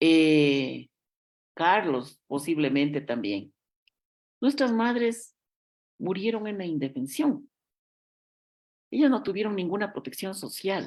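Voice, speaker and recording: A woman's very slow, fairly low voice with very wide pitch swings and long, frequent pauses. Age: 60s. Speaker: politician. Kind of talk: interview.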